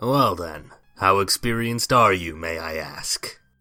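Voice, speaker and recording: A put-on character voice from a man, pitched very deep and low, delivered at a moderate pace. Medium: audio drama.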